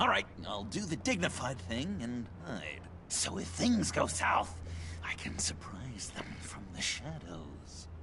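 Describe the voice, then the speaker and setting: Over loud background noise, a put-on character voice speaks at a fairly slow pace. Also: man, very deep, low pitch for a man. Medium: video game. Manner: giddy, laughing.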